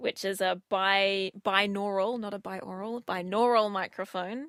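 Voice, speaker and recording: A woman speaks at a fairly slow pace with fairly even intonation and a medium pitch. The sound is dry and close with no echo, a very clean recording over a silent background, and she has an ordinary speaking voice. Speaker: trial co-host discussing ASMR. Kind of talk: casual podcast conversation.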